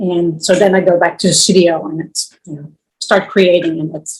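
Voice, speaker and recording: In a Dutch accent, a woman speaks at a moderate pace with fairly low pitch and fairly even intonation. Her voice is somewhat breathy, with big swings in loudness. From Netherlands. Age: 60s. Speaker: visual artist. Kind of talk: interview. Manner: halting.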